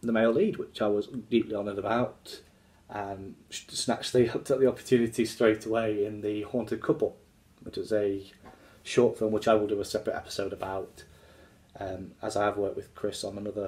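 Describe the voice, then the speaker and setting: The speaker talks at a fairly quick pace and sounds somewhat breathy. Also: man, fairly low pitch for a man. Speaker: actor talking about his film work. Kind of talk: casual vlog chat. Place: home room. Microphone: phone near.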